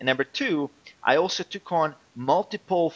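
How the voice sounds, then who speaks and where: Heard in a dry, close sound with no echo, a man with a non-native accent speaks with lively intonation. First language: not English. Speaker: online fitness coach and entrepreneur. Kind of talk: interview. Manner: hesitant, with repetitions.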